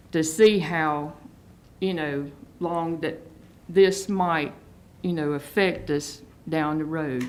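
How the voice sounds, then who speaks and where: Speaking very slowly with an American accent, a woman uses a very deep, low voice, with audible room echo around her. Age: 60s. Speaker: local resident. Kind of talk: public hearing comment. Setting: county board meeting.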